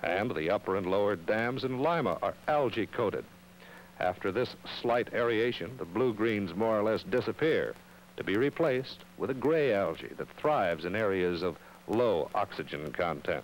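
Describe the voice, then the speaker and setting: In a normal speaking voice, a man speaks at a moderate pace and medium pitch with lively intonation. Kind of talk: 1960s educational film narration. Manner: formal, measured, solemn; authoritative, earnest, grave warning tone.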